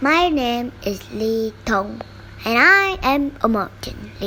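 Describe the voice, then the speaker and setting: A woman's put-on character voice, high-pitched with very wide pitch swings, at a very slow pace over clear background noise. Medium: read story.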